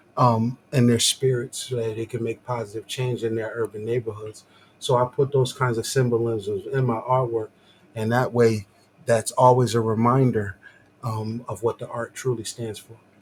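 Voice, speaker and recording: This soft-spoken man talks at a moderate pace in a medium pitch, his intonation monotone and flat, with big swings in loudness. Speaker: visual artist. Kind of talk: casual chat. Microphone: too quiet, facing away from mic.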